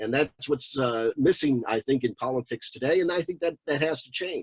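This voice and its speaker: A man's voice with lively intonation at a moderate pace, dry and close with no echo. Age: 60s. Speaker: congressional candidate. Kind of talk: interview. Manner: halting, many fillers and repeats.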